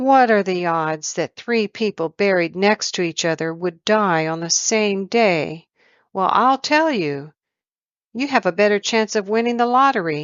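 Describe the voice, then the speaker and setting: A female-sounding put-on character voice at a middle pitch and moderate pace. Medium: read story. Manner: wry, teasing.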